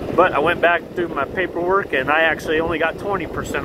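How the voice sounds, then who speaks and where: Amid noticeable background noise, a man talks at a fairly quick pace in a fairly high-pitched voice. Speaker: vlogger. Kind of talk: casual vlog monologue. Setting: outdoors, riding a scooter. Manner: loud.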